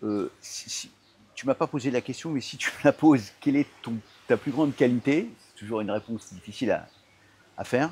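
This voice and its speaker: A man speaks at a medium pitch and moderate pace with ordinary pitch variation, taking long, frequent pauses and making big swings in loudness. The sound is dry and close with no echo, on a very clean recording with a silent background. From Paris suburbs, Seine-Saint-Denis, France. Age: 60s. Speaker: entrepreneur. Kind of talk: interview. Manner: hesitant, many fillers and repetitions.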